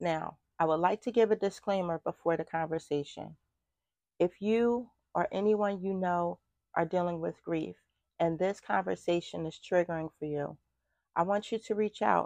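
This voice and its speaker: A woman with a plain, everyday voice and fairly low pitch speaks at a moderate pace with ordinary pitch variation, heard dry and close with no echo over a quiet background. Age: 40s. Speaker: podcast host. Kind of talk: casual chat.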